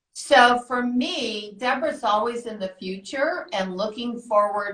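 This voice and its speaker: An animated-sounding woman with an American accent, ordinary pitch variation and a fairly slow pace. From Iowa, US Midwest. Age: 60s. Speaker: business coach, entrepreneur and rapper. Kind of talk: live interview.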